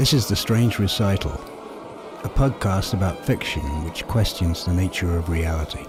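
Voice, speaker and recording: The speaker's pitch varies in an ordinary way. Behind the voice, music is playing. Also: man, very deep, low pitch for a man, moderate pace. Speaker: podcast host. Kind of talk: podcast intro.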